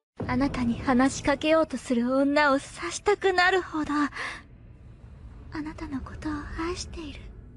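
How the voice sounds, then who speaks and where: A woman at a high pitch, fairly slow pace, music in the background. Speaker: voice actor. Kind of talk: voice acting demo.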